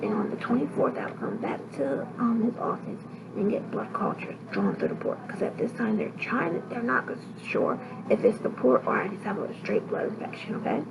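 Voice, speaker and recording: Over noticeable background noise, a woman with a fairly high voice talks at a fairly quick pace with lively intonation. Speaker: sickle cell patient vlogger. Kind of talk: casual talk to camera, health vlog. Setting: hospital room.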